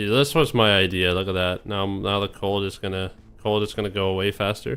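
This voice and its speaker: Moving at a fairly quick pace, a man speaks with a fairly low pitch and ordinary pitch variation. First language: Danish. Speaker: gaming streamer. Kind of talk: live gameplay commentary. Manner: animated; repetitive, self-correcting.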